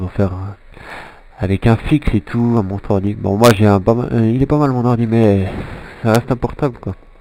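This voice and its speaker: Ordinary pitch variation and a moderate pace mark this voice with its dark, mellow tone. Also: man. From Switzerland. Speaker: gaming commentator. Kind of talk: gameplay commentary. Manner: halting, many fillers.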